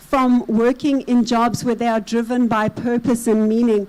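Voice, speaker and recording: With a South African accent, a woman speaks fairly slowly in a high voice. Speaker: consultant / conference speaker. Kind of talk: conference presentation.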